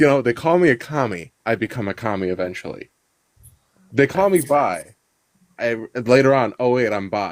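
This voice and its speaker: In a very clean recording with a silent background, a man talks at a medium pitch and moderate pace, his intonation lively and his pauses long and frequent. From Chicago, US. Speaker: podcast guest. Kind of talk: casual chat.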